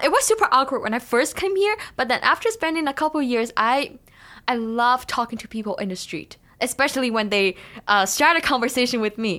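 A woman speaks with a Chinese accent at a fairly quick pace. Her pitch is high and her intonation lively. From China. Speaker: education student. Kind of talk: casual interview.

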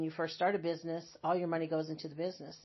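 This woman's voice sits at a fairly low pitch. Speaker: retired hospice nurse. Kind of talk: interview.

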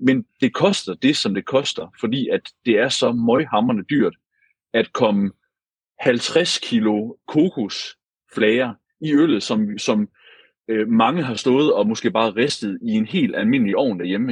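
In a dry, close sound with no echo, a man speaks at a fairly slow pace with medium pitch and ordinary pitch variation. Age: 30s. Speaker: brewer and brewery co-owner. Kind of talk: casual chat. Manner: halting, many repeated words.

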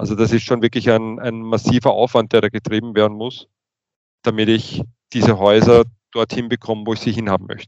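A man with a medium pitch speaks at a fairly quick pace in monotone, flat intonation. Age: 40s. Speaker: utility engineer and manager. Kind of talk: interview. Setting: studio.

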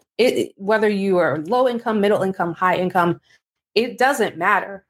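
On a very clean recording with a silent background, a woman speaks in a plain, everyday voice at a medium pitch and moderate pace, her intonation lively. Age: 40s. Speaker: personal finance podcaster. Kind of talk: casual monologue.

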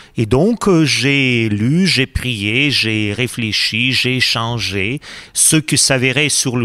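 A man with a Russian accent talks in a medium pitch with a bright, sharp tone. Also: very even loudness. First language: Russian (speaking French). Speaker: priest. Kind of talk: interview.

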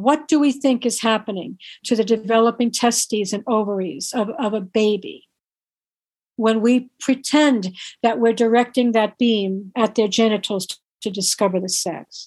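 A woman with an unremarkable speaking voice talks at a moderate pace, her pitch fairly high with ordinary variation. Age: 60s. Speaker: author and activist on birth trauma. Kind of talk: interview.

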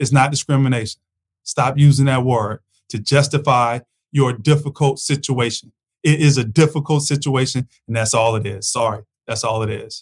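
Speech moves at a moderate pace with fairly even intonation. The voice is somewhat breathy, and the sound is dry and close with no echo. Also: man. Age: 40s. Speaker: freight broker and podcast host. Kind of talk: solo commentary podcast.

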